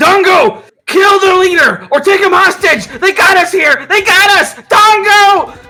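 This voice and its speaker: Over music in the background, a put-on character voice shouts at an extremely high pitch. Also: fairly slow pace. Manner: yelling, urgent.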